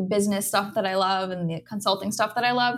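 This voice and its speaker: An unremarkable speaking voice comes through with fairly even intonation. The recording is very clean, with a silent background. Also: woman. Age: 30s. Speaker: dietitian. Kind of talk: interview.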